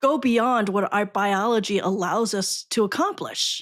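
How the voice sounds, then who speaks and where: With a Chinese accent, a woman speaks at a fairly high pitch with ordinary pitch variation. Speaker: podcast host, educator. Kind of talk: podcast interview.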